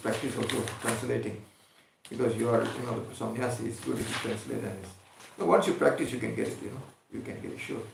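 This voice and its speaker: A man races through his words at a very fast clip, with noticeable noise behind him and audible echo in the room. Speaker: spiritual teacher. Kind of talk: religious discourse.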